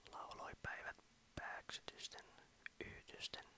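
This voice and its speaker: A man whispers at a fairly slow pace. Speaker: ASMR whisper creator. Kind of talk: poetry reading. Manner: whispered.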